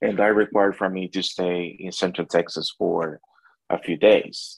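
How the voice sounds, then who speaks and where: With a Spanish accent, a man talks in a fairly low pitch and a fairly even intonation. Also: dry, close sound with no echo. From El Salvador, near San Salvador. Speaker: barbecue restaurant owner and pitmaster. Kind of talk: interview.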